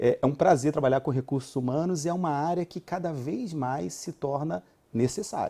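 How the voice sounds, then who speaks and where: A man with a Rio de Janeiro accent speaks at a moderate pace in a fairly high pitch, his dark, mellow tone carrying ordinary pitch variation. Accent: carioca. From Rio de Janeiro, Brazil. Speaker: HR executive. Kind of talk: TV interview.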